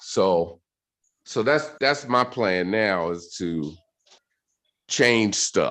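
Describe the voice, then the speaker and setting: Delivered at a very slow pace with long, frequent pauses, the speech has lively intonation. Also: man, medium pitch for a man. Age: 60s. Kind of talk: casual chat.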